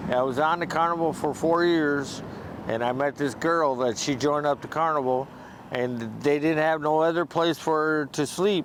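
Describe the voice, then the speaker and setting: A man with an unremarkable speaking voice, fairly high pitched, at a moderate pace with an American accent, fairly even intonation and very even loudness. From US Midwest, Saint Paul, Minnesota. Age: 60s. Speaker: homeless military veteran. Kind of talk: street interview. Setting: outdoors on the street.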